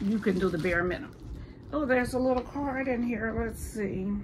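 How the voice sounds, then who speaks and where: Over noticeable background noise, a woman talks at a fairly high pitch with ordinary pitch variation. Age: 50s. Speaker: vlogger. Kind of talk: casual vlog. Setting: at home. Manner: animated. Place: home room. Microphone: phone near.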